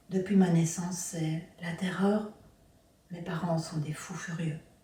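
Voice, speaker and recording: A woman's fairly low voice at a very slow pace, monotone and flat in intonation, over noticeable background noise. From Belgium, Brussels area. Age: 60s. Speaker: abuse survivor sharing her story. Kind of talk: personal testimony.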